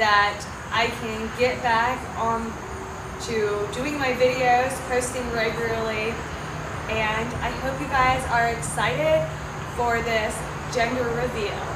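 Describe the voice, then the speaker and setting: Fairly slow speech with long, frequent pauses over loud background noise. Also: woman. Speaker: vlogger. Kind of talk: casual vlog chat. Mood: cheerful, excited. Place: open country. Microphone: camera far.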